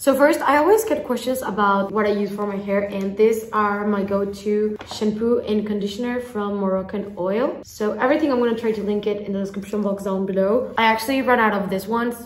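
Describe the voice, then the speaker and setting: Speaking at a fairly quick pace with fairly even intonation, a woman is heard with audible room echo. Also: hardly any pauses. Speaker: vlogger. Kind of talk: casual vlog chat. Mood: relaxed, cheerful. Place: home room. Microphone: phone near.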